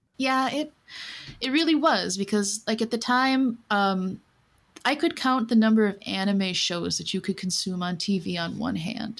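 A somewhat breathy, fairly high-pitched woman with an American accent and lively intonation at a fairly slow pace, on a very clean recording with a silent background. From US Midwest. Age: 40s. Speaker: doll collector guest. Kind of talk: casual chat.

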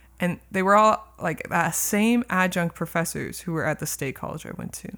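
A woman with an American accent has an ordinary speaking voice, medium pitch with ordinary variation, and a moderate pace. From California. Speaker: music professor and jazz bassist. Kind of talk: casual chat.

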